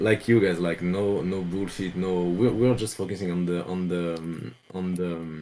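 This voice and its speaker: A man with a French accent talks at a moderate pace with hardly any pauses and fairly even intonation. His voice is very deep and low, with a dark, mellow tone. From France. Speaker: crypto project developer. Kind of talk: casual interview. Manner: halting, many fillers.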